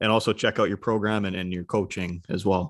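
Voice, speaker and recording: A man talks fairly quickly in a Canadian accent, with a normal speaking voice. His pitch is fairly low and his intonation fairly even. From British Columbia, Canada (Cloverdale). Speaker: podcast host. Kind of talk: casual interview; scripted intro.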